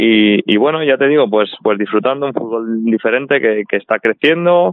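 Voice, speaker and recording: A man has a plain, everyday voice. He speaks at a moderate pace with a fairly low pitch and ordinary pitch variation. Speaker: professional footballer. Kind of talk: casual chat.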